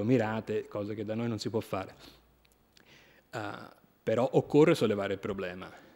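The man's voice sits fairly low in pitch, with a dark, mellow tone. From Italy. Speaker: former senator, politician. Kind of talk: conference talk. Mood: earnest, critical. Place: hall. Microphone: podium.

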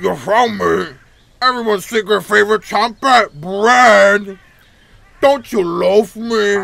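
In a cartoonish character voice, a man speaks at a fairly slow pace with a high pitch. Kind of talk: cartoonish game character voice. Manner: cheery, punning, teasing.

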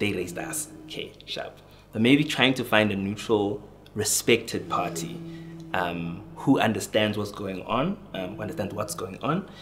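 A man speaks in a fairly low pitch at a moderate pace with lively intonation and big swings in loudness. Faint music plays in the background. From South Africa, KwaZulu-Natal (Estcourt); KwaZulu-Natal. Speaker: youth worker and counselor; podcast guest. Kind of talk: casual chat. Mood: thoughtful, earnest. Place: studio.

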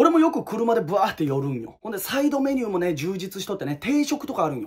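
A man speaks in a high pitch with very wide pitch swings. His tone is animated. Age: 20s. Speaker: YouTuber. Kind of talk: casual ranking monologue.

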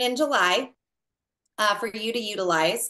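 Against a quiet background, a woman projects a raised voice with a bright, sharp tone at a fairly slow pace. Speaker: network marketing team leader. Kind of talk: group call briefing. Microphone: video call.

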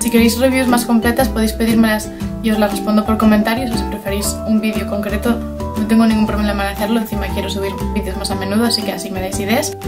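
Clear music plays in the background. A woman talks at a very fast pace. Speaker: beauty vlogger. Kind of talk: casual talk to camera. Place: home room. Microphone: phone near.

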